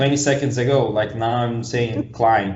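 With a Brazilian accent, a man speaks in a somewhat breathy voice. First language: Portuguese. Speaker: podcast host. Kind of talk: casual interview.

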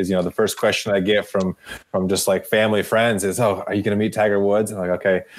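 A man with an ordinary speaking voice, fairly low in pitch, at a fairly quick pace. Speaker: podcast host. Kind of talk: casual interview.

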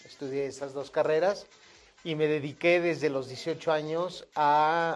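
A man uses an ordinary speaking voice, fairly high in pitch, with fairly even intonation. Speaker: radio and TV news anchor. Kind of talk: casual interview.

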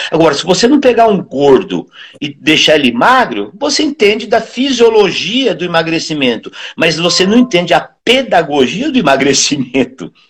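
Pitch swings very widely across speech delivered at a moderate pace. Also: man, high pitch for a man. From interior of Brazil. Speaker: physical education professor. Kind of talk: casual interview. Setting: live stream.

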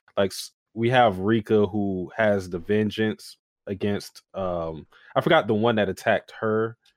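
A plain, everyday voice from a man, fairly low in pitch with ordinary pitch variation and a fairly slow pace, dry and close with no echo on a very clean recording with a silent background. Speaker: anime podcast co-host. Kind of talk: casual chat.

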